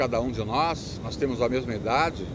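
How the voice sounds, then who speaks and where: Amid noticeable background noise, a man speaks at a fairly quick pace with ordinary pitch variation. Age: 60s. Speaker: motivational speaker. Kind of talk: casual talk to camera. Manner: halting, repetitive.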